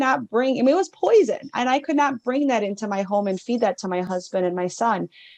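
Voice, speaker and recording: A woman with a Wisconsin accent talks at a fairly quick pace with lively intonation, recorded in a dry, close sound with no echo. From northern Wisconsin. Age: 60s. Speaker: mindset coach. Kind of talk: interview.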